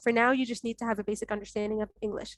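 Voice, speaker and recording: A woman speaks with an Arabic accent. The sound is dry and close, without echo. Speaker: fellowship alumna and webinar presenter. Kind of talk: online info session Q&A. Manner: direct, firm.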